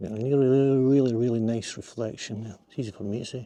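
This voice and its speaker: Against a quiet background, a man with a Glasgow accent whispers at a very fast pace. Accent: Scottish (Glasgow area). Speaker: landscape photographer, vlogger. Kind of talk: casual outdoor vlog narration. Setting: outdoors by a river. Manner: quiet, near whisper.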